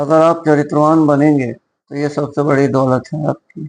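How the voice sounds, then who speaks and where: This man's pitch sits fairly high. His intonation is flat and monotone. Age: 60s. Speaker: schoolteacher. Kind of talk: moral talk to camera.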